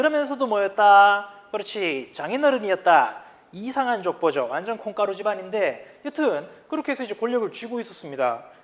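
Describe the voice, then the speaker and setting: Speaking in a strong Gyeongsang accent, a man with a high pitch keeps a moderate pace. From Gyeongsang region, South Korea. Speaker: high school history teacher. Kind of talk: lecture. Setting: recorded video lesson. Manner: casual, conversational.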